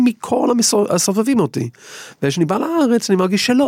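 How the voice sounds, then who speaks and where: The dry, close sound with no echo carries a man with an English accent, while noticeable background noise runs underneath. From England. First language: English (speaking Hebrew). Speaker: violinist. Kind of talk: interview. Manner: halting.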